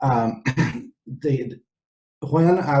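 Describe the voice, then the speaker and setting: A man's somewhat breathy voice with a dark, mellow tone and ordinary pitch variation. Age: 60s. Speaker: psychiatrist. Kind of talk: interview.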